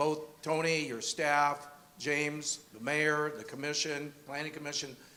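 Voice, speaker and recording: A man speaks at a moderate pace in a fairly high pitch. Noticeable background noise runs underneath. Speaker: event host. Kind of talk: event introduction. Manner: loud.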